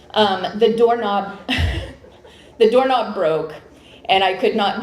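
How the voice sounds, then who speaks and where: A woman with a fairly high pitch talks at a very slow pace, using lively intonation. Audible room echo and noticeable background noise fill the recording. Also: long, frequent pauses. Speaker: college administrator presenting an award. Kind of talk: award presentation speech. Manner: loud.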